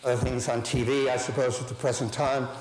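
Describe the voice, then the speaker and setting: A man with an American accent talks at a moderate pace with ordinary pitch variation. Audible room echo and noticeable background noise are present. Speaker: architecture professor. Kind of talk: lecture. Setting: lecture hall with audience. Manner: animated.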